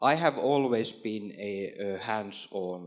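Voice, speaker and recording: A man with a Finnish accent speaks at a fairly low pitch. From Finland. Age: 40s. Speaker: trade official and former entrepreneur. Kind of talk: panel discussion. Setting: stage with audience. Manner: halting, with frequent repetitions.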